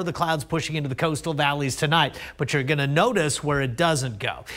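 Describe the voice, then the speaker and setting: The background is quiet. A man is the one talking. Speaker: TV presenter. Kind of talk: weather forecast presentation. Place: studio.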